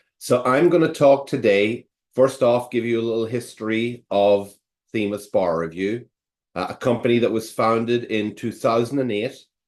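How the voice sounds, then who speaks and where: A man speaks with an Irish accent. His pitch variation is ordinary. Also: medium pitch for a man, moderate pace. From Ireland. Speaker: attorney and bar prep director. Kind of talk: webinar presentation.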